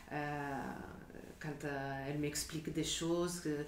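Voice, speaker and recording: A woman's very deep, low voice at a very slow pace, with audible room echo and noticeable background noise. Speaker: stage actress. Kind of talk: interview. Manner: halting.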